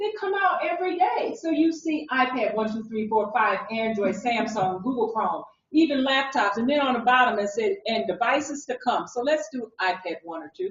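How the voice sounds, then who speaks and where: An animated woman's voice, high-pitched, at a moderate pace with very wide pitch swings and hardly any pauses. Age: 60s. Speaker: conference presenter on mobile learning. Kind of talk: conference session demo.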